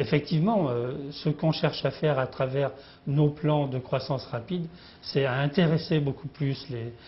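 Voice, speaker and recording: Here a man speaks at a fairly high pitch, somewhat breathy. He goes at a fairly slow pace with ordinary pitch variation. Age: 60s. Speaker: company founder and CEO. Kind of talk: business interview. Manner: halting, many hesitations.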